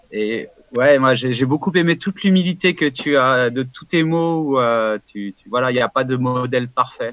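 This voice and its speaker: In a plain, everyday voice, a man talks at a moderate pace and medium pitch, with ordinary pitch variation and big swings in loudness. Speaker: event host. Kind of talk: casual discussion. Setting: video call.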